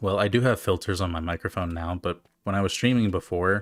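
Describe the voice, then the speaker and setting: A man speaks with a very deep, low voice. He mumbles his words. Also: dry, close sound with no echo. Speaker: streamer, gamer. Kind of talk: casual live-stream commentary. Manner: mumbling, slurred words; halting, many fillers.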